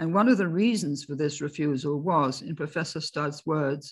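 Her voice is low-pitched with a slightly husky edge. The woman keeps a moderate pace and ordinary pitch variation.

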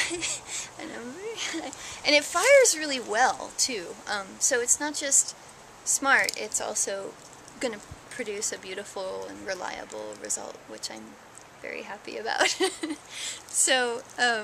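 A woman speaks at a fairly slow pace, leaving long, frequent pauses. Her loudness swings widely, and noticeable noise fills the background. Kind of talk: interview answer. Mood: warm, enthusiastic. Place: garden. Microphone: phone near.

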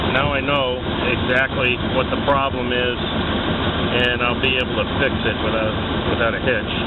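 The sound is dry with no echo, and loud background noise is present. A man talks at a moderate pace. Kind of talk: tutorial. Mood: mildly disappointed then satisfied. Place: garage. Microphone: phone near.

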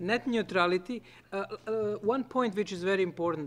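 A man speaks with a non-native accent. His pitch varies in an ordinary way. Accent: noticeable non-native English. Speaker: conference panelist. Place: meeting room. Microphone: podium.

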